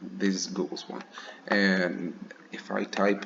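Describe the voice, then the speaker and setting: Noticeable background noise sits behind this man. His pitch is fairly low. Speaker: student. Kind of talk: screencast demo. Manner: halting, with fillers and restarts.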